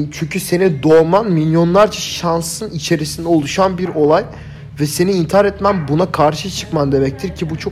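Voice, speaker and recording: A man at a moderate pace with fairly even intonation, amid noticeable background noise. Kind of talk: casual chat. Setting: evening at home, lying on the floor.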